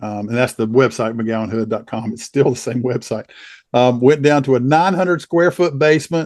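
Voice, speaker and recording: The voice belongs to a man and sits at a medium pitch. Its pitch variation is ordinary. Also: moderate pace. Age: 60s. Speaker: trial lawyer. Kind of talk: interview. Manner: halting.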